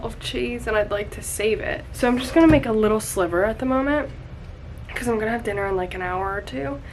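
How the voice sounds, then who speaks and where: A woman speaks in an ordinary speaking voice, fairly high in pitch with ordinary pitch variation. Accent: American. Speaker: lifestyle vlogger. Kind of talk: casual vlog chat. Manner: chatty.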